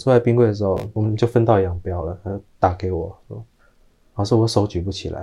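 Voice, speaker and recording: The voice is somewhat breathy, with a dark, mellow tone. It moves at a fairly quick pace. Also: man, fairly low pitch for a man, fairly even intonation. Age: 30s. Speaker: pet funeral professional. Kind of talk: interview.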